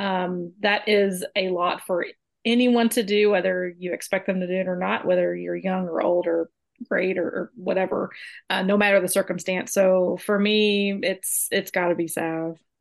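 A woman talks at a moderate pace in an unremarkable speaking voice. Her pitch is medium and her intonation fairly even. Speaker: guest, soccer tactics analyst. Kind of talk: casual chat.

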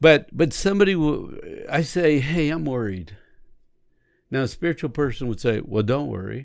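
A man's voice in a very clean recording with a silent background. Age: 60s. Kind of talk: casual faith conversation. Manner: animated.

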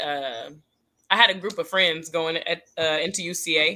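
Her tone bright and sharp, a woman with an American accent speaks with fairly even intonation. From Texas. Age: 20s. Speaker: professional dancer and choreographer. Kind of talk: casual interview.

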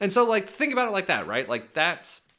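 This very clean recording has a silent background. A man speaks with a bright, sharp tone. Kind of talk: angry rant. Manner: loud, exasperated, profanity-laden, hammering the same point.

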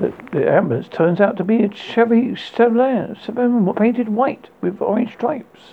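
A man's high voice carries a slightly husky edge. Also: ordinary pitch variation, moderate pace.

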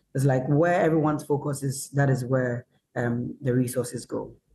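Over music in the background, a man with a fairly high pitch speaks with fairly even intonation. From northern Ghana. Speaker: chef. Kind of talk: online panel discussion. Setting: video call.

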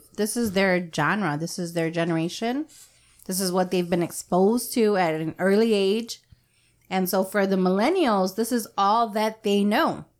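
A woman with an unremarkable speaking voice talks at a moderate pace and medium pitch with ordinary pitch variation in a very clean recording with a silent background. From Mexican American, US. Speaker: podcast co-host. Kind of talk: casual group chat.

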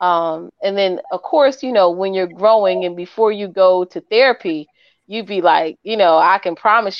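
A woman speaks in a plain, everyday voice at a medium pitch. Her pace is moderate. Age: 40s. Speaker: life coach. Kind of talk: casual chat.

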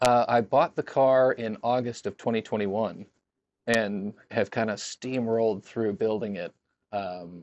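Heard in a dry, close sound with no echo, a man with a fairly low pitch speaks in a plain, everyday voice. His intonation is fairly even and his pace moderate. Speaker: car owner and fan club member. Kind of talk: casual chat.

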